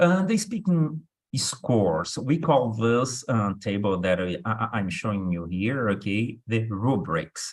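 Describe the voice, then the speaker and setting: A man with a Brazilian accent speaks at a very slow pace in a medium pitch. His pitch swings very widely. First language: Portuguese. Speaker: English test instructor. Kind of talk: online workshop lecture. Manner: hesitant, many fillers.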